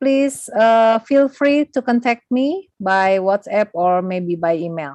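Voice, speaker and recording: A woman with an Indonesian accent, in a dry, close sound with no echo. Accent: Sundanese-accented English. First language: Sundanese. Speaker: lecturer. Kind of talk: closing remarks of a lecture.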